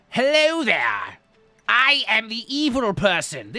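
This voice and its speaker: A cartoonish character voice, female-sounding and high-pitched, moves at a fairly slow pace. Faint music plays in the background. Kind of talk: exaggerated cartoon voice acting. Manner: melodramatic, sinister.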